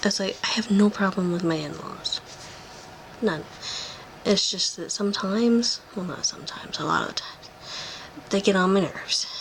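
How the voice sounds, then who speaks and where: The voice is quiet and moves at a moderate pace, with long, frequent pauses. Background noise is noticeable. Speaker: vlogger. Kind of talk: casual vlog update. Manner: quiet, hushed.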